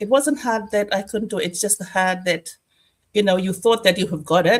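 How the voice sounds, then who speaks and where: A woman at a moderate pace, somewhat breathy, with a medium pitch and ordinary pitch variation. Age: 60s. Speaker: online business owner. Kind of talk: testimony.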